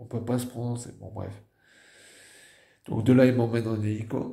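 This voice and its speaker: A man's medium-pitched, somewhat breathy voice with a dark, mellow tone and a slight northern French accent, monotone and flat in intonation, at a moderate pace with big swings in loudness and audible room echo. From northern France. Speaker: stroke survivor vlogger. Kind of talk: personal testimony. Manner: halting.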